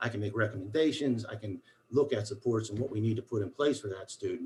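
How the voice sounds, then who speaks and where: Somewhat breathy, a man with a medium pitch talks at a fairly quick pace. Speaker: school special education coordinator. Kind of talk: formal meeting report. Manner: fast; animated.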